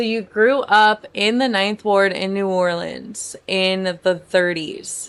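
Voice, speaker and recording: A woman talks at a very slow pace with hardly any pauses. Her intonation is fairly even. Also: medium pitch for a woman. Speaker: podcast host. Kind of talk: podcast interview questions.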